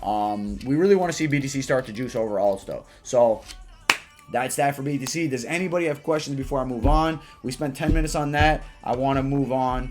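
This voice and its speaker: A man's fairly high voice at a fairly quick pace, with ordinary pitch variation and music in the background. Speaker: crypto trader and livestreamer. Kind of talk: live market analysis stream. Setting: livestream with chat. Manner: fast; casual.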